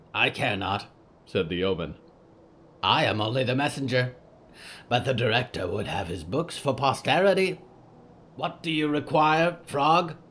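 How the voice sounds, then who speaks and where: Putting on a croaky character voice, a man speaks at a medium pitch and a moderate pace. He leaves long, frequent pauses. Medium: audio drama. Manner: broken, clipped phrasing.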